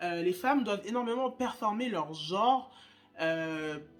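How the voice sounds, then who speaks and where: With music playing in the background, a woman talks at a fairly slow pace using lively intonation. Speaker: YouTuber, spirituality content creator. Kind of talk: casual chat while doing makeup. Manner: casual, many fillers and restarts.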